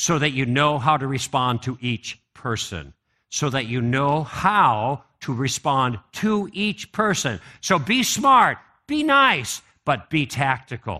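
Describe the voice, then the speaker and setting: Over a quiet background, a man with an American accent speaks at a very slow pace in a bright, sharp, fairly high voice with lively intonation. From US Midwest, Chicago. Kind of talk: conference talk.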